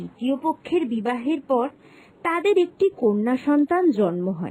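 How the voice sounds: A woman's high voice with big pitch swings, a slightly mellow tone and a moderate pace.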